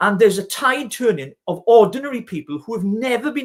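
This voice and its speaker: Recorded very cleanly against a silent background, a man speaks with a Welsh accent. His pitch is high and his intonation lively. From Wales (Welsh Valleys). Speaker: regional party leader. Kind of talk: live-stream political discussion.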